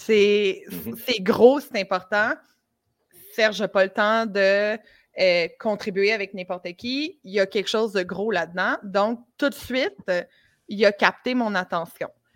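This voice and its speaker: A very slow pace in a Quebec accent. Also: woman. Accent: Québécois French. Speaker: conversion optimization consultant. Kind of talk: casual chat.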